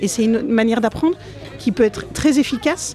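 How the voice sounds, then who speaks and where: A woman speaking at a fairly quick pace over background music. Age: 50s. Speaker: politician. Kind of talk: interview. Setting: conference event.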